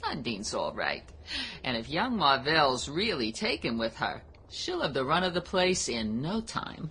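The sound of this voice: Doing a put-on character voice, a woman speaks at a fairly slow pace with an extremely low pitch, big pitch swings and a fairly bright tone.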